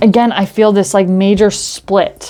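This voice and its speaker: A medium-pitched woman speaks against a quiet background. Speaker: tarot reader. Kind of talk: tarot reading. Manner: fast.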